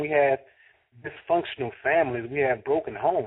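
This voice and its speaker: A man speaks with an American accent at a moderate pace. His voice is fairly high. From Fort Worth, Texas. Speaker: radio show host. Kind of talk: talk radio monologue. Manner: impassioned, emphatic, preaching.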